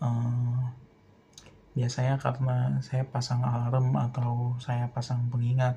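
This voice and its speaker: Somewhat breathy and dark, mellow in tone, a man speaks at a very slow pace with monotone, flat intonation. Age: 20s. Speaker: film student. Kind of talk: personal monologue. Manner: hesitant, many filler sounds.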